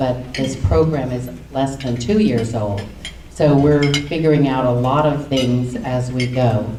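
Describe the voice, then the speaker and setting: Very slowly and in a very deep, low voice, a woman speaks with ordinary pitch variation amid noticeable background noise and audible room echo. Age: 60s. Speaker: panelist, nonprofit program worker. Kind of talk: panel discussion. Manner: halting.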